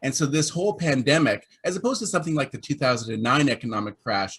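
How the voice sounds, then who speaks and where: In a somewhat breathy voice, a man speaks very fast. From Canada. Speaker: labour market report publisher. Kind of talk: panel discussion.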